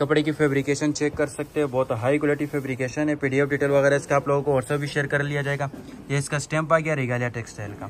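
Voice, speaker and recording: With light background noise, a man talks at a fairly quick pace with hardly any pauses and a monotone, flat intonation. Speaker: cloth seller. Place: shop. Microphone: phone near.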